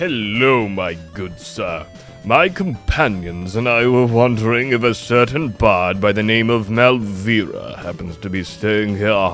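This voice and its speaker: Cartoonish character voice from a man at a medium pitch and fairly slow pace, with clear music in the background. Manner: formal, courteous.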